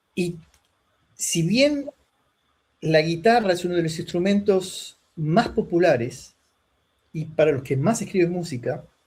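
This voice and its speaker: Pausing long and often, a man with a high pitch speaks at a fairly slow pace with lively intonation. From Argentina. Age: 60s. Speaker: lute player. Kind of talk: interview conversation.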